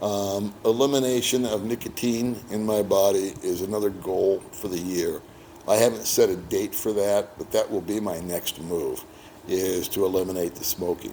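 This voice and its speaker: Over noticeable background noise, a man with an American accent speaks at a moderate pace in a relaxed tone, his fairly low pitch following a fairly even intonation. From United States. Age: 60s. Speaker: expat boyfriend of the channel host. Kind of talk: casual interview. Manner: relaxed, conversational with fillers.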